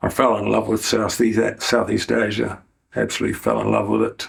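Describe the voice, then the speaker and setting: Vocal fry in a New Zealand accent at a fairly slow pace. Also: man. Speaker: YouTuber. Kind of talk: interview.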